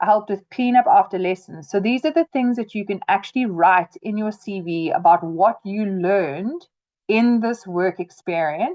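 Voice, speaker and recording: A woman with an ordinary speaking voice, medium in pitch, lively in intonation, at a moderate pace. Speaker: trainer. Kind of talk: webinar tutorial. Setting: video call webinar.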